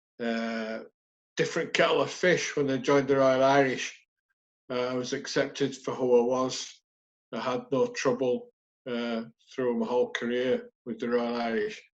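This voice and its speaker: A man's medium-pitched voice with a Yorkshire accent, monotone, flat intonation and a moderate pace. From northern England, West Yorkshire (Halifax). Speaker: army veteran. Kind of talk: casual interview.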